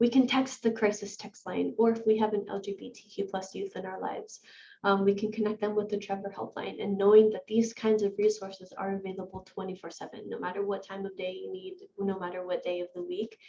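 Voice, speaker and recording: Against noticeable background noise, a woman talks at a fairly quick pace and a medium pitch, with monotone, flat intonation and big swings in loudness. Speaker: breakout session presenter. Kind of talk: workshop presentation.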